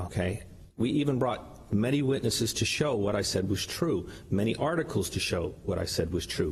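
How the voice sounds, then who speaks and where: In a room with audible echo, a man speaks at a medium pitch with lively intonation. His voice is somewhat breathy and his loudness very even. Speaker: lawyer arguing own case in court. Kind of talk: oral argument before court. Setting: courtroom. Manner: fast.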